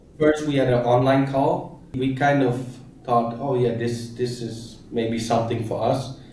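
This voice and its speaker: The speaker's flat, monotone voice moves at a fairly slow pace, with audible room echo and noticeable background noise. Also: man. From Thailand (Koh Samui), Dutch family. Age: 30s. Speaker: e-commerce entrepreneur. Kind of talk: interview.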